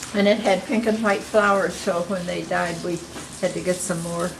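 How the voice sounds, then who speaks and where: Amid noticeable background noise, a woman speaks at medium pitch and a fairly slow pace, with fairly even intonation. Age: 80s+. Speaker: local historian and writer. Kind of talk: casual talk to camera. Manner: witty, dry humor.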